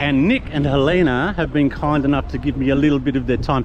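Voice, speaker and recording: A man talks at a very fast pace with a fairly high pitch. Noticeable background noise is present. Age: old. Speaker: travel vlogger. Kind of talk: casual vlog talk and street interviews.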